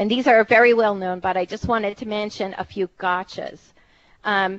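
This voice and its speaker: Fairly even intonation at a moderate pace. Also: woman, medium pitch for a woman. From Philadelphia. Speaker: technical writer and presenter. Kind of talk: technical presentation.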